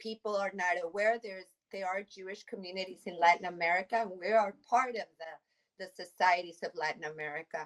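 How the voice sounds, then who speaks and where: In a Spanish accent, a woman talks at a medium pitch with ordinary pitch variation. The sound is dry and close, with no echo. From Mexico City. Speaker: immigration attorney. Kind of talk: interview.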